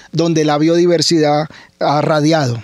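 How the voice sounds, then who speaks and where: Against a quiet background, a man speaks in a fairly high, monotone, flat voice with a dry sound and no echo. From Colombia, Cali (Valle del Cauca); Colombia. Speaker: biology professor. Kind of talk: radio interview. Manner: repeats words, halting.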